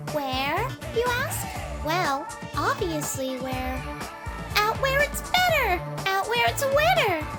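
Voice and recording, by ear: Over clear background music, a woman puts on a character voice, extremely high-pitched with big pitch swings, at a slow pace.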